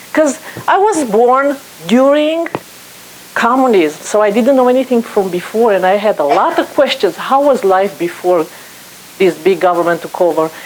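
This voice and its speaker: Against noticeable background noise, a woman speaks at a moderate pace and very even loudness, her fairly high pitch swinging very widely. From Romania. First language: Romanian. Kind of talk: guest talk to an audience.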